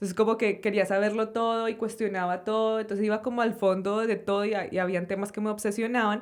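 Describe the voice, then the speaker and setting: A woman's fairly high voice in a Colombian accent, flat and monotone, very fast with hardly any pauses, on a very clean recording with a silent background. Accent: Colombian accent, kept and proud of it. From Colombia, Sopó near Bogotá. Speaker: journalist and podcast host. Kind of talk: interview conversation. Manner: casual, many fillers.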